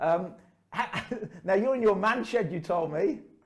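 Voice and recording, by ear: A man uses a put-on character voice, croaky and hoarse, pitched high. His intonation is lively and his pace moderate.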